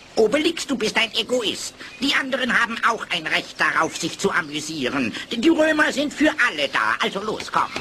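Over clear background noise, a man speaks at a moderate pace in an extremely high pitch with very wide pitch swings. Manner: brisk, confident, decisive.

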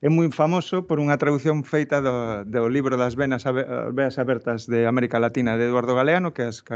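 Against a quiet background, a man speaks at a medium pitch with ordinary variation in it. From Galicia. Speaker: research centre host, moderator. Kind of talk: talk introduction and moderation. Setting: lecture hall, hybrid event. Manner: halting. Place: hall. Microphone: podium.

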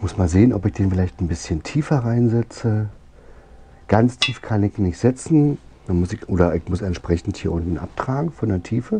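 A man speaks at a moderate pace with a fairly low pitch and lively intonation. His voice is somewhat breathy, with a dark, mellow tone. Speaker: DIY motorbike builder and video creator. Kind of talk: workshop vlog tutorial. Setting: home workshop. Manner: casual.

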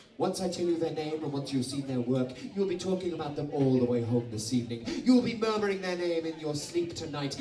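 Amid audible room echo and light background noise, a man speaks in a fairly high voice with lively intonation. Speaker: event host, compere, comedian. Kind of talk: cabaret compere addressing a live audience. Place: stage.

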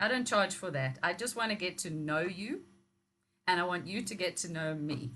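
Bright and sharp in tone, a woman talks at a moderate pace with lively intonation. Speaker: personal coach. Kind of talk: interview. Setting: video call. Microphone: video call.

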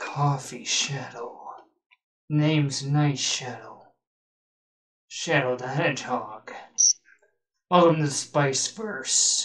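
A put-on character voice at a low-to-middle pitch, very slow in pace, with long, frequent pauses. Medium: machinima. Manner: casual, friendly, easily surprised.

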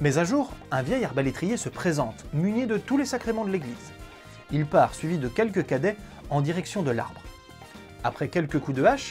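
A man at a moderate pace with long, frequent pauses and faint music in the background. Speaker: storyteller host. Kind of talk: storytelling narration to camera. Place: home room. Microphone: lapel.

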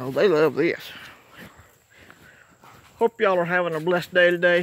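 This man speaks at a fairly slow pace with a fairly bright tone. His voice is high, and its pitch moves in an ordinary way.

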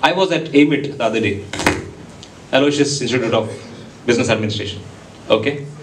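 In an Indian accent, a man talks at a fairly quick pace and fairly high pitch, his tone animated and his intonation lively, with light background noise. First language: Konkani. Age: young. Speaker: entrepreneur and guest speaker; guest. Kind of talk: motivational talk to students. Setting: stage with audience. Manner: animated, interactive with audience. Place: hall.

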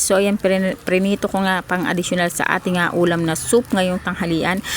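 Through noticeable background noise, a woman talks at a moderate pace with flat, monotone intonation. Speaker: vlogger. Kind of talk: casual vlog narration.

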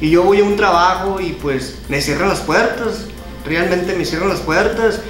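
Over clear music in the background, a man speaks in a high pitch at a fairly slow pace, his ordinary pitch variation carrying an audible room echo. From Navojoa, Sonora, Mexico. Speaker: amateur announcer, live streamer. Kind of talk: interview answer. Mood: earnest, appealing for help. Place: home room. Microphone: handheld.

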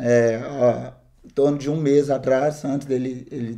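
The background stays quiet. Against it, a man talks with fairly even intonation. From Minas Gerais, Brazil (Governador Valadares); Minas Gerais, Brazil. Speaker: missionary; interviewee. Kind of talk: testimony. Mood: earnest storytelling. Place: studio.

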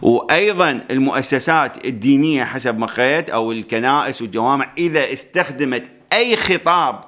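Ordinary pitch variation at a fairly slow pace over a quiet background. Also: man. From Iraq. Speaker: YouTuber commentator on news. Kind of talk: news commentary monologue. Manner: conversational, explanatory. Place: studio. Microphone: studio mic.

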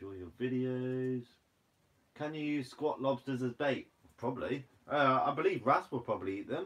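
A man with a Guernsey accent at a moderate pace, with ordinary pitch variation and big swings in loudness. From Guernsey, Channel Islands. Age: 20s. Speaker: fishing and foraging YouTuber. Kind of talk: livestream Q&A reading viewer comments. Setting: live stream. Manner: casual, laughs often; sometimes blunt. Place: home room. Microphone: phone near.

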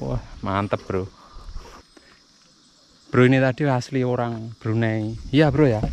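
Speaking at a slow pace, a man uses a medium-pitched, slightly mellow voice with vocal fry and ordinary pitch variation.

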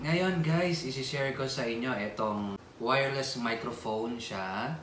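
A man speaks at a very slow pace. The room echo is audible, with light background noise. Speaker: vlogger. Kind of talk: casual unboxing vlog chat. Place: home room. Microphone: phone near.

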